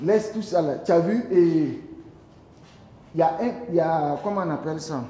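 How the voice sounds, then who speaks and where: A man's high-pitched voice at a fairly slow pace, with ordinary pitch variation, long, frequent pauses and noticeable background noise. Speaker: theatre director giving rehearsal feedback. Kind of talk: casual rehearsal feedback.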